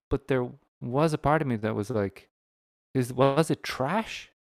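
A man with an Irish accent speaks at a medium pitch with lively intonation, on a very clean recording with a silent background. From Ireland. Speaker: stand-up comedian and podcaster. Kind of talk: casual chat.

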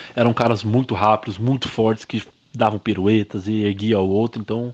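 A man is speaking. He talks in a Brazilian accent. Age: 20s. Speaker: professional wrestler. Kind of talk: interview monologue. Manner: casual, conversational.

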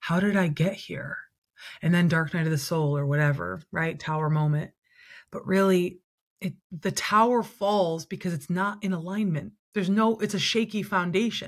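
At a moderate pace, a woman speaks in a fairly low, somewhat breathy voice with ordinary pitch variation. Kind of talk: casual interview conversation. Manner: warm, expressive.

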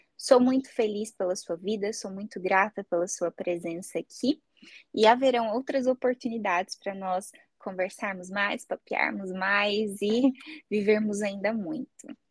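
A plain, everyday voice speaks at a fairly slow pace with ordinary pitch variation, in a dry, close sound with no echo. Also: woman, medium pitch for a woman. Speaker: psychologist, podcast host. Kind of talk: casual chat.

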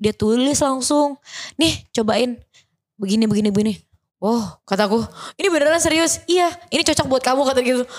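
Her high voice runs at a fairly quick pace with lively intonation and very even loudness, though the woman takes long, frequent pauses. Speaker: model and influencer. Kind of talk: casual chat.

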